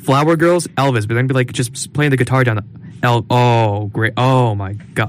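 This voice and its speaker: With a normal speaking voice, a man talks at a moderate pace in a medium pitch with ordinary pitch variation. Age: 20s. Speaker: college podcast co-host. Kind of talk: casual chat. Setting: studio.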